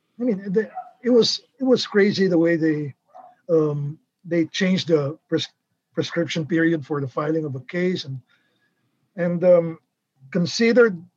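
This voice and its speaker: Here a man speaks at a moderate pace. His pitch is high. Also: dry, close sound with no echo. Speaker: journalist. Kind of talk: interview.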